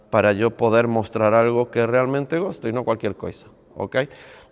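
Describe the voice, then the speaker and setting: Intonation stays fairly even as a man speaks. His pace is moderate. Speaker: padel coach and youtuber. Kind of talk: casual vlog talk to camera. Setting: on a padel court.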